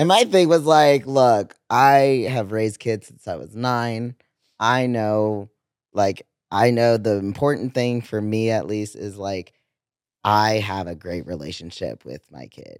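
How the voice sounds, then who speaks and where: An ordinary speaking voice at a fairly slow pace, with lively intonation and big swings in loudness, on a very clean recording with a silent background. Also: man, fairly low pitch for a man. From Central American family (Nicaraguan and Guatemalan). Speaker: drag king. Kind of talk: casual chat.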